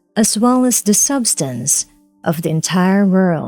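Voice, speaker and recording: A woman with a medium pitch talks very slowly with lively intonation. Music plays in the background, and the sound is dry and close with no echo. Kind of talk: audiobook reading.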